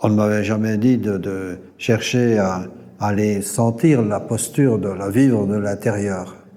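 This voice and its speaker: A man's fairly low, dark, mellow voice at a very slow pace, with fairly even intonation and audible room echo. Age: 70s. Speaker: yoga teacher trainer. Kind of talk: interview testimony. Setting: recorded at a yoga gathering. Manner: halting, many hesitations and repetitions.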